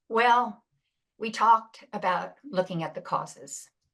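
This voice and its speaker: Very slow and fairly high-pitched, a woman's voice carries vocal fry. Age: 70s. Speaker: retired pastor and climate activist. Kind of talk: lecture. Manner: halting.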